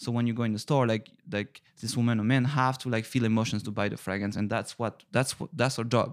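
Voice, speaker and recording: In a French accent, a man speaks at a fairly quick pace and medium pitch, with fairly even intonation and hardly any pauses. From northern France. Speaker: perfumer. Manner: halting, hesitant with fillers.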